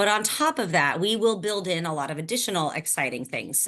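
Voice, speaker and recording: Against a quiet background, a woman with an American accent speaks at a medium pitch with lively intonation. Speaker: program coordinator presenting a fellowship. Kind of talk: informational webinar presentation. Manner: fast.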